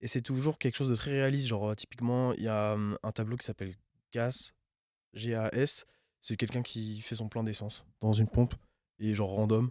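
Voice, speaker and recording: On a very clean recording with a silent background, a man speaks at medium pitch and a moderate pace with long, frequent pauses, fairly even intonation and a dark, mellow tone, the sound dry and close with no echo. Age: 20s. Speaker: rapper. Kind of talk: casual interview. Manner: hesitant, many fillers.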